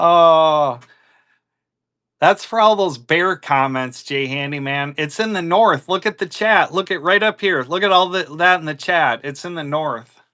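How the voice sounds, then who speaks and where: A man with a strong Minnesota accent speaks at a fairly slow pace in a high pitch, his tone bright and sharp with ordinary pitch variation, against a quiet background. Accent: strong northern US (Minnesota). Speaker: livestream coin seller. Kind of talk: live selling stream chat. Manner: casual, chatty.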